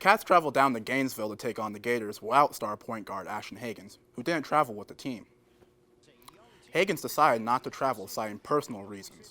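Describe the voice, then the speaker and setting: A man's bright, sharp voice in an American accent, medium in pitch with ordinary pitch variation, at a very fast pace. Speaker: sports reporter. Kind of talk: sports news anchor read. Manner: upbeat, clear, brisk.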